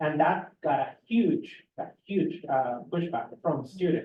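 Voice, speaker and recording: Speaking at a fairly slow pace, this voice carries a Spanish accent. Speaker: graduate student. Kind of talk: panel discussion. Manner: hesitant with fillers.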